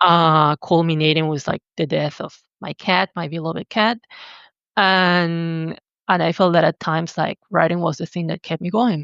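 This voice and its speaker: A woman with a Spanish accent talks in a fairly low pitch with fairly even intonation. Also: moderate pace. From Argentina. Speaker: writer and visual artist. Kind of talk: podcast interview, personal testimony.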